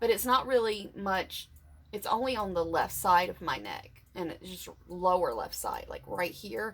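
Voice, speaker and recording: This woman has a medium pitch and some vocal fry, speaking at a moderate pace. Her intonation is lively, and her loudness swings a lot. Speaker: vlogger sharing surgery recovery. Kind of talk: personal vlog update. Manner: halting, many fillers.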